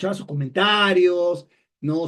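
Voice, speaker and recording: Speaking at a fairly slow pace, a man uses a high pitch and lively intonation. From Peru. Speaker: communication expert, webinar speaker. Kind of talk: webinar talk. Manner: hesitant, many fillers and repetitions.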